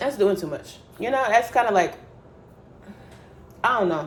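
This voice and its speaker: A woman's voice with ordinary pitch variation, over noticeable background noise. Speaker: YouTuber reality TV commentator. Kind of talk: casual commentary.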